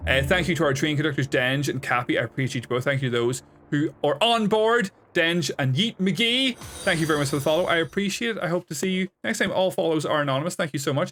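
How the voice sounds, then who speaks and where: Over music in the background, a man with a fairly high pitch talks at a very fast pace with lively intonation. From Northern Ireland. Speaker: video game streamer. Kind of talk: casual chat. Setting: live stream.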